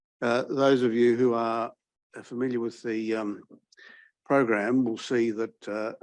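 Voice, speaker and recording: A man's medium-pitched, ordinary speaking voice at a fairly slow pace, over a quiet background. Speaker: law professor introducing a speaker. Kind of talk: seminar introduction speech.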